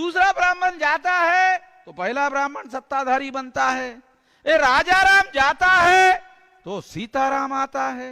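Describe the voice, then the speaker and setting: In a dry, close recording with no echo, a man speaks at an extremely high pitch in a raised, projected voice with an animated tone. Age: 60s. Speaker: activist organization leader. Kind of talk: political speech. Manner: animated, repetitive oratory.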